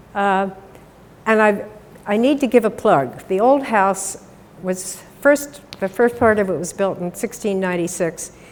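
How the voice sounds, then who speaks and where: A woman's medium-pitched, fairly slow speech in an American accent over noticeable background noise. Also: ordinary pitch variation. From Pennsylvania. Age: 70s. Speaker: invited speaker. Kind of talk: public talk.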